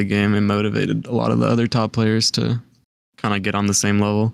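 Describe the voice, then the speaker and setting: On a very clean recording with a silent background, a man speaks fairly quickly in a fairly low, monotone, flat voice. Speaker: top video game player. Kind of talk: casual interview. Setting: Discord call.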